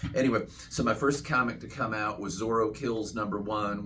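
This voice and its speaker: A man's fairly low voice with audible room echo. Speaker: comic book creator and author. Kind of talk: casual introductions at a meeting. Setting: comic shop meeting. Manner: fast.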